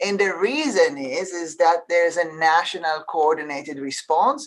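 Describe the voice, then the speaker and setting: With an Israeli accent, a woman speaks fairly slowly in a fairly low pitch. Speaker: healthcare leader. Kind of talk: panel discussion. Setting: webinar.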